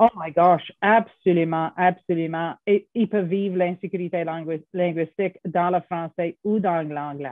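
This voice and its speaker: With an English accent, a woman speaks at a fairly slow pace in a fairly low pitch, keeping her intonation fairly even and hardly pausing at all. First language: English (speaking French). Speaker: professor. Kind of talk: interview. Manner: halting.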